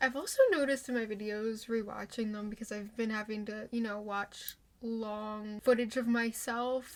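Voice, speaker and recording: A woman speaks at a moderate pace. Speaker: YouTuber. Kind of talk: casual vlog chat.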